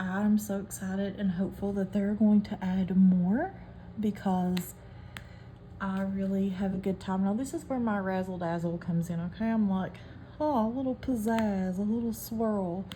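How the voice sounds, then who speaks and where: A woman with a strong West Virginia accent, medium-pitched, at a moderate pace with fairly even intonation, music in the background. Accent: thick West Virginia. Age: 30s. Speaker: hobby craft vlogger. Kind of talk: casual chat while crafting.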